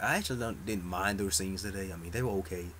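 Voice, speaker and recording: Quiet and fairly low-pitched, a man talks at a very fast pace with ordinary pitch variation and audible room echo. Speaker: soap opera vlogger. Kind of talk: casual chat. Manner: low, quiet voice; halting, many fillers.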